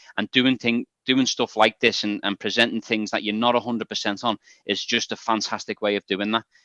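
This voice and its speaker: A man speaks at a moderate pace in a bright, sharp tone with monotone, flat intonation. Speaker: data science volunteer. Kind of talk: online meeting discussion. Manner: halting.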